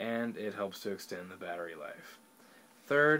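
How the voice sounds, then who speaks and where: Light background noise can be heard. A man speaks at a moderate pace. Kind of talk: tutorial. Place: home room. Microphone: webcam.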